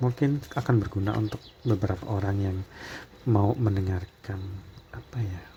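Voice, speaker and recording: A soft-spoken man with a fairly low pitch, ordinary pitch variation and a moderate pace, broken by long, frequent pauses, over noticeable background noise. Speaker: tarot reader. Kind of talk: tarot reading monologue. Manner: soft-spoken, quiet to avoid neighbours hearing.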